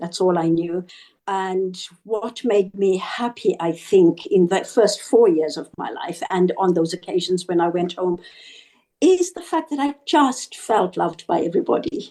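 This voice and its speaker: In a Zimbabwean accent, a woman speaks fairly slowly at medium pitch, her dark, mellow tone carried by lively intonation. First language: Shona. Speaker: author. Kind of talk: interview.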